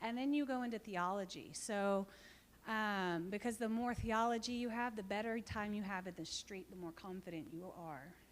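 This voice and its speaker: A woman with an American accent speaks in a plain, everyday voice at a medium pitch. Her pace is moderate, with ordinary pitch variation. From Texas. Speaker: missionary. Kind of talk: church talk with Q&A.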